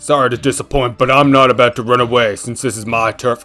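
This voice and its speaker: A man's strained, put-on character voice at a medium pitch, very fast pace, faint music in the background. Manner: defiant, taunting.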